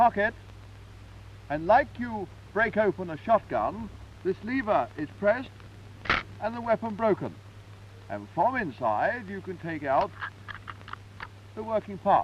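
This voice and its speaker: A man with a British accent talks at a fairly slow pace, with big swings in loudness and long, frequent pauses. Background noise is noticeable. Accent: British, 1950s. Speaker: army sergeant major. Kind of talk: live demonstration explanation. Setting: archival 1954 film recording.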